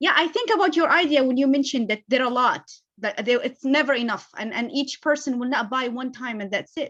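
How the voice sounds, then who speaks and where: With an Arabic accent, a woman speaks at a high pitch and a fairly quick pace. Her pitch varies in an ordinary way. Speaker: business owner. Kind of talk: Q&A.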